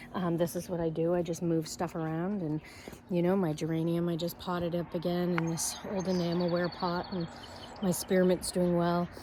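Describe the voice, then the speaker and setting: The delivery comes at a moderate pace with flat, monotone intonation. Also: woman, fairly low pitch for a woman. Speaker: farmer and vlogger. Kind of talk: casual vlog garden tour. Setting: outdoors. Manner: hesitant, many fillers.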